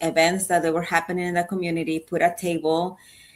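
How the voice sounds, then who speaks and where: A woman's fairly low voice with fairly even intonation, on a very clean recording with a silent background. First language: not English. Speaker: suicide prevention advocate and nonprofit founder. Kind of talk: interview.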